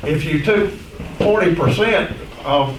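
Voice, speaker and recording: Amid noticeable background noise and audible room echo, a man with an American accent speaks at a fairly high pitch. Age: 70s. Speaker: prosecuting attorney. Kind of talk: public meeting request. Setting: county committee meeting. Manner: halting.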